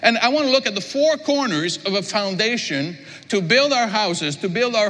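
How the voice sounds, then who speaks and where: Over noticeable background noise, a man talks at a fairly quick pace, his pitch swinging very widely. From Quebec. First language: French. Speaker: pastor. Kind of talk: sermon. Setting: church.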